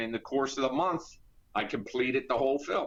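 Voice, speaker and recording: Ordinary pitch variation marks this man's medium-pitched voice, delivered with an American accent. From US Northeast, Philadelphia area. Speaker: independent filmmaker and actor. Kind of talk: interview.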